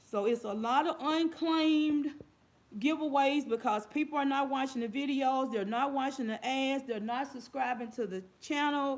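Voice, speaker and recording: Loud and high-pitched, a woman speaks with ordinary pitch variation. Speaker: YouTube giveaway host. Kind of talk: casual livestream chat. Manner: repetitive.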